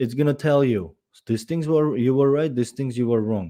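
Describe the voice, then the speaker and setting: In a very clean recording with a silent background, a man speaks with a dark, mellow tone and fairly even intonation. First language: not English; English is third language. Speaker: podcast host and business owner. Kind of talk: solo podcast monologue. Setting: live stream. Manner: halting, with fillers and restarts.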